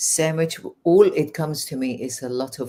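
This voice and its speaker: With a Persian accent and a dark, mellow tone, a woman speaks at a fairly slow pace with ordinary pitch variation. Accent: Persian accent with English-learned English. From Iran. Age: 60s. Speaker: life coach. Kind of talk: interview. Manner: hesitant, many fillers.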